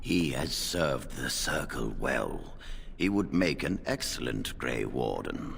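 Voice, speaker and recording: Clear background noise runs under a man doing a put-on character voice. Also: fairly slow pace. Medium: video game. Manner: calm, dignified.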